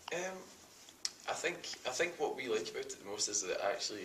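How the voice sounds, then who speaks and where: A man with a Scottish accent at a fairly quick pace, with audible room echo and noticeable background noise. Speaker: rock band singer. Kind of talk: casual interview. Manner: casual, hesitant with fillers.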